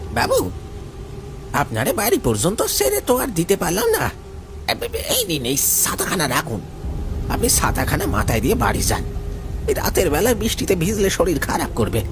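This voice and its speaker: A man speaks at a moderate pace in a put-on character voice, with loud background noise behind him. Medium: audio drama. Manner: shifts from humble to sinister.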